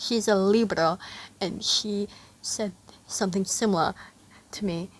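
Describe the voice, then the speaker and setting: This woman has a normal speaking voice, pitched fairly high, with lively intonation. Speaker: fanfic reader. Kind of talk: reading aloud; casual chat.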